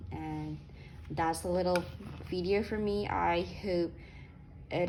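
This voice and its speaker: The speaker is a woman. Audible echo from the room surrounds her voice. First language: not English. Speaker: sewing youtuber. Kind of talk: product review. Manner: casual, many fillers.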